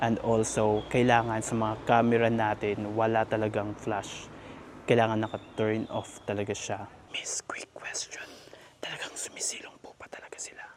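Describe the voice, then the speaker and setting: The speaker is soft-spoken and keeps a moderate pace. Noticeable background noise runs underneath. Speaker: travel vlogger. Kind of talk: travel vlog. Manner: speaking softly.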